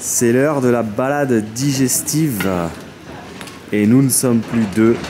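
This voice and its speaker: A man with a Parisian accent speaks very slowly at a medium pitch, his loudness very even. Music plays in the background, and the room echo is audible. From Paris area. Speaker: travel vlogger. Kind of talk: casual vlog chat. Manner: animated.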